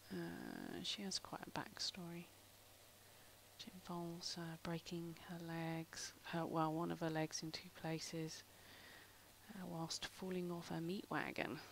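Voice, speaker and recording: A woman with a British accent speaks at a fairly low pitch and a fairly slow pace. Her intonation is monotone and flat. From UK. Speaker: artist. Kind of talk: live stream tutorial. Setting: live stream. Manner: casual, rambling with fillers.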